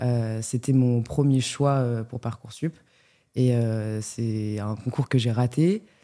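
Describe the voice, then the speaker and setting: On a very clean recording with a silent background, a woman speaks very slowly in a dark, mellow tone, her pitch very deep and low and her intonation fairly even. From France, Lyon. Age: 20s. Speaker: business school student. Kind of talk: interview. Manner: hesitant, many fillers.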